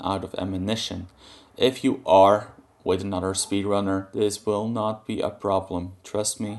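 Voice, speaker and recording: Over a quiet background, a man with a non-native accent speaks at a moderate pace and a fairly low pitch. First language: not English. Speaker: gaming guide creator. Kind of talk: tutorial. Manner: halting.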